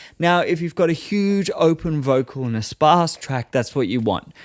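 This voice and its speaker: Recorded very cleanly against a silent background, a man with a normal speaking voice talks at a moderate pace with ordinary pitch variation. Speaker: music producer and plugin reviewer. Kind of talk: product review tutorial.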